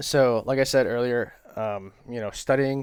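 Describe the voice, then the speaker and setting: The recording is very clean with a silent background. A man speaks with monotone, flat intonation. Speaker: trading vlogger. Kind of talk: casual talk to camera. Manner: fast.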